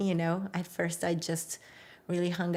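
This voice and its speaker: On a very clean recording with a silent background, a woman with a fairly low pitch and a Brazilian Portuguese accent speaks in a monotone, flat intonation. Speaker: public defender. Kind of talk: interview.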